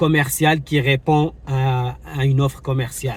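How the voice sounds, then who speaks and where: In a Moroccan accent, a man talks at a very slow pace with fairly even intonation. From Morocco, Casablanca. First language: Moroccan Arabic (speaking French). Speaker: YouTuber, travel vlogger. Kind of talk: commentary vlog. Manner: hesitant, many fillers.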